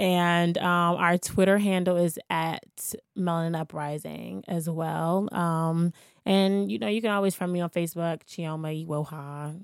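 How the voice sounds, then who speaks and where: A woman with an unremarkable speaking voice talks at a fairly low pitch and a fairly slow pace. Her intonation is fairly even, and the recording is very clean with a silent background. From Washington, D.C. (Shaw neighborhood). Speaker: community activist and youth mentor. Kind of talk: casual interview. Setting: studio.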